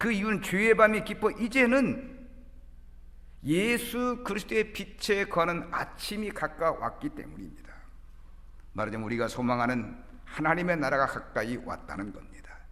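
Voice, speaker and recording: Amid audible room echo, a man talks in a high voice with a bright, sharp tone, very wide pitch swings and big swings in loudness. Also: moderate pace. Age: 60s. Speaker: pastor. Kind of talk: sermon. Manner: formal.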